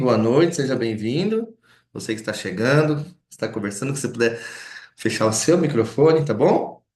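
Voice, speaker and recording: Audible room echo surrounds the speaker, a man. His intonation is lively. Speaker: lecturer. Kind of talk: lecture. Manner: fast.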